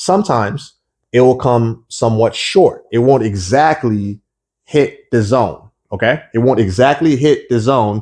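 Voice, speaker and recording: A man with a normal speaking voice talks at a fairly slow pace and medium pitch, with lively intonation and very even loudness over a quiet background. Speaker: forex trading educator. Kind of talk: tutorial.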